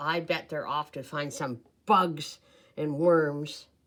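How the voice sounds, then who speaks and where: A put-on character voice at a middle pitch speaks at a fairly slow pace. The recording is very clean, with a silent background. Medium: read story. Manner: eager, greedy.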